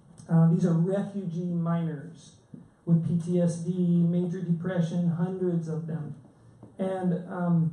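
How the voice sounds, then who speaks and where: Amid audible room echo, a man with an American accent speaks at a fairly slow pace in a high pitch, with a dark, mellow tone and a monotone, flat intonation. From Chattanooga, Tennessee (US South). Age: 40s. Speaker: public commenter, social work student and minister. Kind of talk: public comment at a board meeting. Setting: school board meeting.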